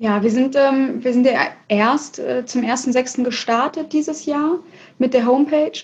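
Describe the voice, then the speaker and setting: A woman speaks in a high voice. Her intonation stays fairly even. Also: fairly slow pace. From Hannover, northern Germany. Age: 20s. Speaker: fashion label founder. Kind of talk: interview.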